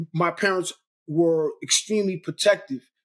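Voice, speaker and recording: With a New York accent, a man talks at a fairly quick pace in a high pitch. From Brooklyn, New York. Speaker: real estate investor and mentor. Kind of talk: interview. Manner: casual, repetitive stammering.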